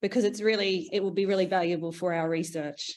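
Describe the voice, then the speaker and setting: Over a quiet background, a woman with an Australian accent speaks at a fairly quick pace with ordinary pitch variation. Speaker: panel moderator and researcher. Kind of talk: webinar panel introduction and presentation.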